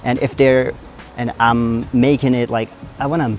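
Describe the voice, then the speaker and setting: Someone with an American accent talks at a moderate pace over music in the background. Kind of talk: casual, vlog.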